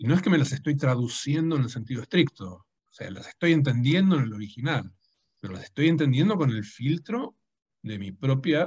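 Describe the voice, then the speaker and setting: A man of medium pitch sounds somewhat breathy, his lively intonation paired with big swings in loudness. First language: Dutch (speaking Spanish). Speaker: writer and translator. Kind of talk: public conversation. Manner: halting.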